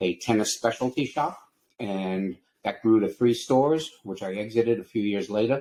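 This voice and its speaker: In an American accent, a man talks at a moderate pace with a fairly low pitch, a dark, mellow tone and ordinary pitch variation. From New York, Long Island. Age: 70s. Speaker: entrepreneur. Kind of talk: interview.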